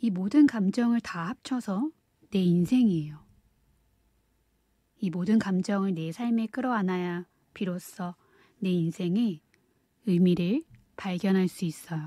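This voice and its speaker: A woman speaks very slowly at a medium pitch in a dark, mellow, soothing tone, somewhat breathy, with ordinary pitch variation and long, frequent pauses, on a very clean recording with a silent background that sounds dry and close with no echo. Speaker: audiobook reader. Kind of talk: audiobook reading, ASMR-style soothing narration. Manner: soft-spoken, soothing.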